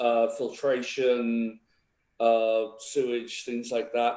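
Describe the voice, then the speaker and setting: A man speaks in a dark, mellow tone. His pace is very slow. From England, Stratford-upon-Avon. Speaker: political candidate. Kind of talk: candidate self-introduction at caucus. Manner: hesitant, many fillers.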